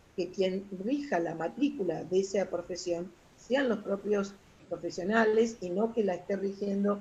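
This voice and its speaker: With ordinary pitch variation, a woman of medium pitch speaks at a moderate pace. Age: 60s. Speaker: retired social worker. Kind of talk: interview. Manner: halting.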